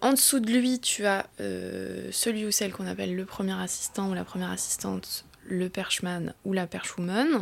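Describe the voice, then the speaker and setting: The speech moves at a moderate pace with hardly any pauses. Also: woman. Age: 30s. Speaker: film boom operator. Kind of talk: casual chat.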